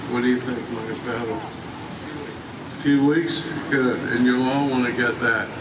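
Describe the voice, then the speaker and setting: Fairly slow speech from a man at medium pitch, with noticeable background noise and audible room echo. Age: 80s+. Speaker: theme park founder and former general manager. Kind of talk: ceremony speech. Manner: halting.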